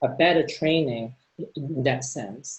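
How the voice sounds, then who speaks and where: Ordinary pitch variation runs through a somewhat breathy voice. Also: man. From Hong Kong. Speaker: neuroscientist. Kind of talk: panel discussion. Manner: hesitant, many fillers and repetitions.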